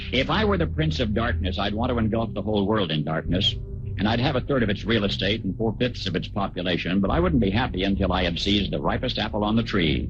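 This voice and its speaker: Over music in the background, a man talks at a very fast pace with hardly any pauses, fairly low pitch, ordinary pitch variation and very even loudness. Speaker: radio news commentator. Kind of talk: radio commentary.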